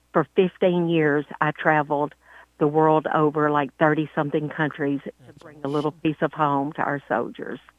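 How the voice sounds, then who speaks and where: In a Southern US accent, a woman speaks with monotone, flat intonation and a very deep, low pitch. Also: moderate pace. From Louisiana. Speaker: country singer. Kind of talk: interview.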